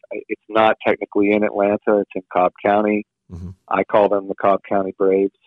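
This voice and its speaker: The pace is fairly quick. The intonation is monotone and flat. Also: man, fairly low pitch for a man. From Louisiana. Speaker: rock bassist. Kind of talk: casual interview chat.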